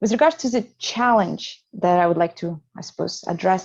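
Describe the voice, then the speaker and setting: A woman's dark, mellow voice at a medium pitch, with a Russian accent, at a fairly quick pace over a quiet background. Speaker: psychotherapist. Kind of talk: panel discussion. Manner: halting.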